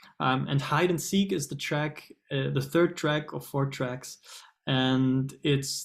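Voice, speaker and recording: A very slow, flat, monotone delivery from a man with a German accent and a fairly high pitch. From Germany. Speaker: singer-songwriter. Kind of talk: interview. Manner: hesitant, many fillers.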